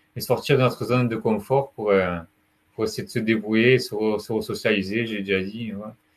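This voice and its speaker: A man at a medium pitch for a man and a moderate pace, with fairly even intonation and big swings in loudness. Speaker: retail sales advisor with mental illness. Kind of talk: testimony. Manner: halting.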